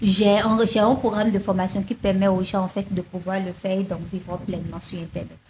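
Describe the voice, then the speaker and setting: Against noticeable background noise, a woman at medium pitch talks at a fairly quick pace with hardly any pauses, her intonation monotone and flat. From Benin. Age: 20s. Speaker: sales funnel consultant and online trainer. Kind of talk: interview.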